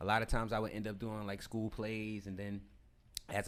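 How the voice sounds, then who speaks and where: A man's fairly low-pitched voice. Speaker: actor. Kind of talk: casual chat. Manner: loud and clear.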